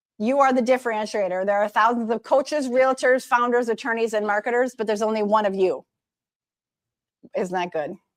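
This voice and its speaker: Pitch rises and falls in an ordinary way. The delivery moves fairly quickly. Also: woman. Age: 50s. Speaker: social media consultant. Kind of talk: presentation. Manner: fast.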